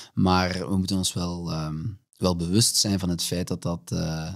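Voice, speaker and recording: At a fairly slow pace, a man with a very deep, low pitch speaks in fairly even intonation against a quiet background. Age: 30s. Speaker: HR director; guest. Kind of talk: interview. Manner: hesitant, many fillers. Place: studio. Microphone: studio mic.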